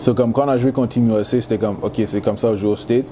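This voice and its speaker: A man's medium-pitched voice with a Canadian accent, ordinary pitch variation and a very fast pace, over noticeable background noise. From Quebec, Montreal. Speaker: college football player. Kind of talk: interview. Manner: casual, halting with many fillers.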